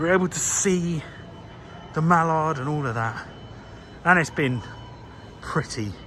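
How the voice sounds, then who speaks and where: Noticeable noise sits behind speech delivered at a fairly slow speed. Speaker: gaming and railway YouTuber. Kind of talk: casual vlog walkthrough. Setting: indoors at a railway museum.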